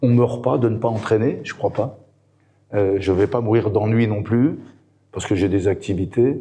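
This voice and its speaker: A man talks at a medium pitch with a dark, mellow tone, somewhat breathy. He goes fairly slowly, with long, frequent pauses. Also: ordinary pitch variation. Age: 60s. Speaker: football coach and former player. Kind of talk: interview. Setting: event. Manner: hesitant, many fillers.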